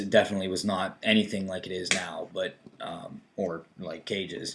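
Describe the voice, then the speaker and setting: A man's very deep, low-pitched voice at a moderate pace. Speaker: video blogger. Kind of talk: casual chat.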